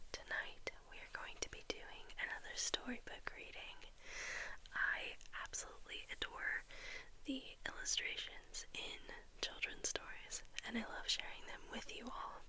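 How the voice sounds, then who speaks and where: Whispered speech moves at a fairly slow pace, broken by long, frequent pauses. Noticeable background noise runs underneath. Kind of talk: casual talk to camera.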